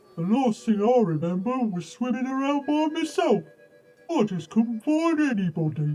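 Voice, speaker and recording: A put-on character voice, fairly high in pitch, with very wide swings in pitch. It moves at a moderate pace over faint background music. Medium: short film.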